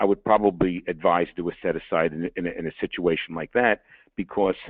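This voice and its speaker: Speaking in a New York accent, a man talks fairly quickly with fairly even intonation. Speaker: lawyer. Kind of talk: webinar presentation. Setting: webinar. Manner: fast.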